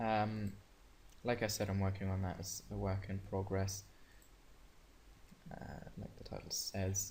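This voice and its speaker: In a room with audible echo, a man with a non-native accent speaks fairly slowly in a fairly low, somewhat breathy voice, flat and monotone, with long, frequent pauses. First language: not English. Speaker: gaming youtuber. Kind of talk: screen-share tutorial. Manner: hesitant, many fillers; casual.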